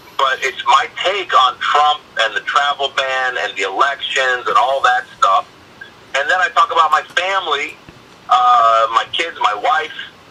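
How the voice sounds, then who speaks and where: Over noticeable background noise, a man with an American accent talks at a fairly slow pace. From Iranian American. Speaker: stand-up comedian. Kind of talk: interview answer.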